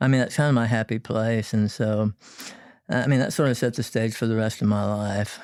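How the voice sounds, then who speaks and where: A man speaks with a Texan accent at a medium pitch. His pace is fairly quick and his intonation fairly even. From Texas, San Antonio. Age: 60s. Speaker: boat builder. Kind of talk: interview. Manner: halting.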